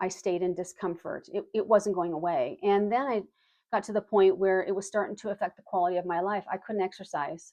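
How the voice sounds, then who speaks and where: Fairly even intonation in an ordinary speaking voice, delivered at a fairly quick pace. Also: woman, medium pitch for a woman. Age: 60s. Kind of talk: casual talk to camera.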